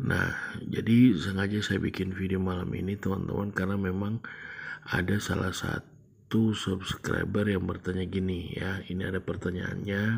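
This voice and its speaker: A man's voice sits very deep and low, monotone and flat in intonation. He speaks quietly at a very slow pace. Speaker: trading YouTuber. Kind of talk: screen-share tutorial. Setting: home recording late at night. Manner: quiet, low volume; casual, hesitant with fillers.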